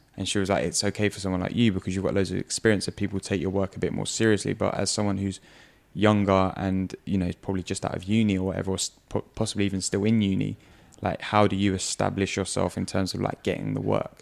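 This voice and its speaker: Very fast and monotone, a man talks with flat intonation. His pitch is very deep and low, and the recording is very clean with a silent background. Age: 30s. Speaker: podcast host and mindset coach. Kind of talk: casual chat.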